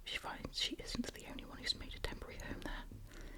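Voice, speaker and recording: A woman whispering at a fairly quick pace over noticeable background noise. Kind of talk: reading a book blurb aloud in ASMR style. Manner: whispered, soft-spoken.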